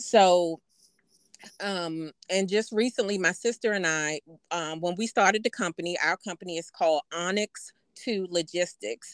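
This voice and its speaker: A woman speaks at a moderate pace in medium pitch, with an unremarkable speaking voice. Her pitch varies in an ordinary way, and the sound is dry and close with no echo. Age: 50s. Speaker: podcast co-host and business owner. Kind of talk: casual chat.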